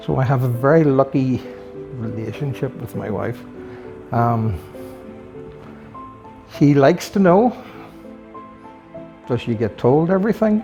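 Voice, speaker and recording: Soft-spoken, a man with a Northern Irish accent talks at a medium pitch with very wide pitch swings. He goes at a fairly slow pace with long, frequent pauses as music plays in the background. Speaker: retired police officer, motorcycle collector. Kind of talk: interview answer.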